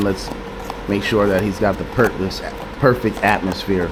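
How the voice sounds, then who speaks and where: Over noticeable background noise and audible room echo, a man talks at a moderate pace with a fairly low pitch. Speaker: vlogger. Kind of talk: casual vlog talk. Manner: not very loud. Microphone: camera mic held close to mouth, no microphone.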